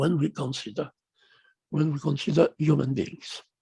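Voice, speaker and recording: The voice has a dark, mellow tone, somewhat breathy, at a very slow pace, with a dry, close sound and no echo. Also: man. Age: 80s+. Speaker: obstetrician. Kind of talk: online lecture. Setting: video call. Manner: engaging.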